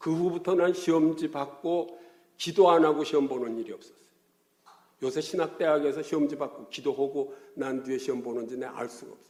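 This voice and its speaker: The speaker goes at a fairly quick pace, with ordinary pitch variation and big swings in loudness. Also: man, fairly high pitch for a man. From Korea, Gyeongsang region. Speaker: pastor. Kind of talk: sermon. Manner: animated, colloquial storytelling.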